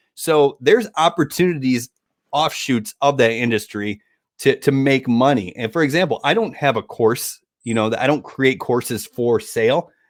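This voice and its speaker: A man speaks in an unremarkable speaking voice with an American accent and ordinary pitch variation. The recording is very clean, with a silent background. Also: medium pitch for a man, moderate pace. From Michigan, US Midwest. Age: 40s. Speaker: affiliate marketer. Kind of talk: casual interview.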